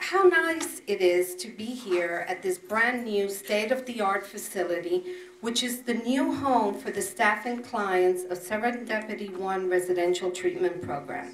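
Over light background noise and audible room echo, a woman talks at a fairly slow pace with ordinary pitch variation. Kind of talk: prepared ceremonial speech. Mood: proud, formal. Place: meeting room.

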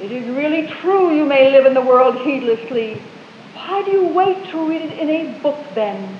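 Lively intonation marks this woman's speech, heard with audible room echo and light background noise. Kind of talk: poetry reading. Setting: live stage performance. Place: hall. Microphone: old recording.

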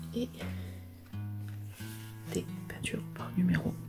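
A woman at a very slow pace with long, frequent pauses, and clear music in the background. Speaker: crafts YouTuber. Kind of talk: casual talk to camera. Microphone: phone near.

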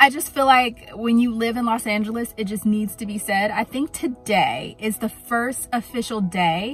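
At a moderate pace and with hardly any pauses, a woman speaks with ordinary pitch variation in a dry sound with no echo, faint music in the background. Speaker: thrift vlogger. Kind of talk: casual vlog chat. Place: car. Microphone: phone near.

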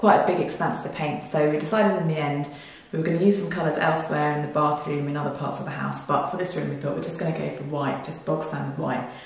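A woman speaks at a very fast pace with a very deep, low pitch. Room echo is audible. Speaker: DIY home renovation vlogger. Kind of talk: casual talk to camera. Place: empty room. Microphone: camera far.

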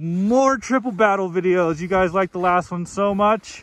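A man with a high pitch talks at a fairly quick pace, recorded with a dry sound and no echo. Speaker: snowmobile vlogger. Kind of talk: casual vlog chat. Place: open country. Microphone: phone near.

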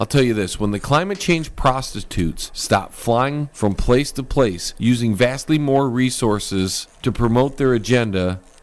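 An ordinary speaking voice, this man's American accent comes at a fairly slow pace and a medium pitch with ordinary pitch variation. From US Midwest (Michigan). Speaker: comedian. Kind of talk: mock press conference, comic candidate speech fielding staged reporter questions. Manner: mock-solemn political oratory.

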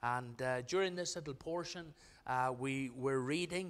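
The voice belongs to a man, moving at a moderate pace. Its pitch shifts in an ordinary way. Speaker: pastor. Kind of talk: sermon. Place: church. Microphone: podium.

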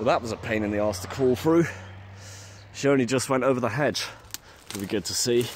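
Over light background noise, a man's voice carries ordinary pitch variation in a dry sound with no echo. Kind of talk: casual vlog chat. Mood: wry, mildly disappointed. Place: open country. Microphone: phone near.

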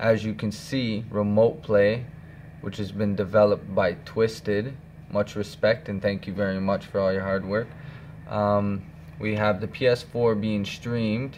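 A man with an ordinary speaking voice, fairly low in pitch, at a fairly slow pace with fairly even intonation over light background noise. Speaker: hobbyist demonstrating software. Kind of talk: tutorial. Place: home room. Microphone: phone near.

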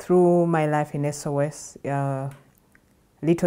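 Dark, mellow tone with a Ugandan accent and monotone, flat intonation. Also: woman, quiet background. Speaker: nonprofit program director. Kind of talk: personal testimony at a workshop. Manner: halting, with fillers and restarts. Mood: reflective, earnest. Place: studio. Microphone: lapel.

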